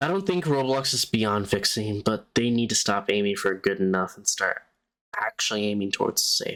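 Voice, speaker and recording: A man speaks at a moderate pace. His pitch is medium with ordinary variation. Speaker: gaming podcast host. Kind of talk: solo podcast commentary.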